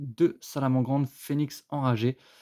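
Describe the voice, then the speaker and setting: At a fairly slow pace and medium pitch, a man speaks in a dry, close sound with no echo, in a very clean recording over a silent background. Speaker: YouTuber opening trading card orders. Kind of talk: casual unboxing commentary. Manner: halting, searching for words.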